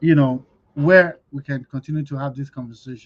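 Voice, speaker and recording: Somewhat breathy, a man talks at a moderate pace in a fairly high pitch. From Nigeria. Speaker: business expo organizer, host. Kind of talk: livestream talk.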